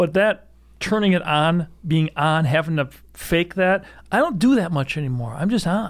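It is a normal speaking voice with ordinary pitch variation. The recording is very clean, with a silent background. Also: man. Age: 60s. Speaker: gun storage company founder. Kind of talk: casual chat. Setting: studio.

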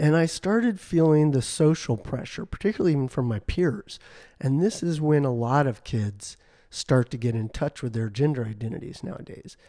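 With a dark, mellow tone and lively intonation, the voice moves at a moderate pace in a dry, close sound with no echo over a quiet background. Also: man. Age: 50s. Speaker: clinical psychologist. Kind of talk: interview.

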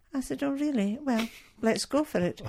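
A woman with a Scottish accent has a dark, mellow tone and lively intonation, heard on a very clean recording with a silent background. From Scotland. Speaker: missionary nurse. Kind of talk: interview testimony. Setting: radio studio.

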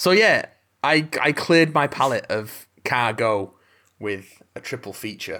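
A man's bright, sharp voice with an English accent, fairly high pitch, very wide pitch swings, and a fairly slow pace. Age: 30s. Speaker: podcast co-host. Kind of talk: casual chat.

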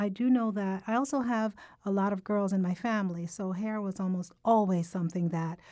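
The recording is very clean, with a silent background. A woman speaks at a medium pitch in a dark, mellow tone. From Jamaica. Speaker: podcast host. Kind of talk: casual chat. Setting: studio.

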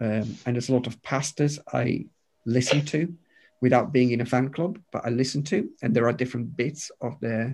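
At a moderate pace, a man talks with a medium pitch, ordinary pitch variation, and a somewhat breathy sound. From Romania. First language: Romanian. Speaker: pastor. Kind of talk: interview. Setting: video call.

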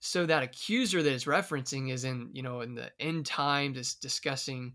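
Recorded very cleanly against a silent background, a man speaks with a bright, sharp tone and ordinary pitch variation. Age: 20s. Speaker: Bible teacher. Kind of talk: casual chat.

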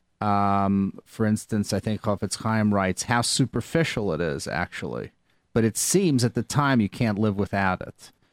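A man with an unremarkable speaking voice, fairly low pitch and ordinary pitch variation at a moderate pace, dry and close with no echo in a very clean recording with a silent background. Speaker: guest on radio show. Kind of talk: casual conversation.

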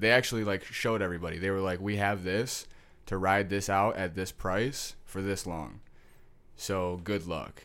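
In an unremarkable speaking voice with an American accent, a man talks at a fairly low pitch with fairly even intonation. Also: moderate pace. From Detroit, Michigan. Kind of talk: casual chat.

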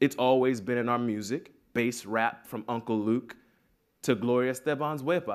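A man with an unremarkable speaking voice speaks at a medium pitch and a moderate pace with fairly even intonation. The recording is very clean, with a silent background. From Miami, Florida. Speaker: playwright and theater professor. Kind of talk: prepared talk.

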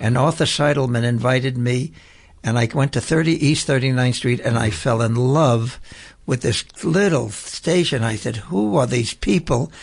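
A man with an American accent and a medium pitch speaks at a moderate pace, somewhat breathy, with ordinary pitch variation, very even loudness and a quiet background. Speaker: radio host and prisoners' rights activist. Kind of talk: radio interview. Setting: radio studio.

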